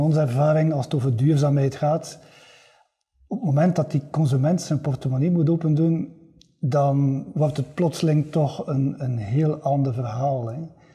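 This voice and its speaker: A man speaks at a fairly slow pace in a fairly high, somewhat breathy voice with a dark, mellow tone. His intonation stays fairly even. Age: 50s. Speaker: podcast host. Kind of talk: interview.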